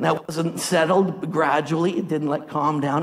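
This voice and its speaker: Noticeable background noise sits behind a man speaking with a fairly high pitch. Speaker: preacher. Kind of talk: sermon. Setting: church with live congregation. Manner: animated, exhorting, call-and-response; emphatic, rhythmic, preaching in full flow.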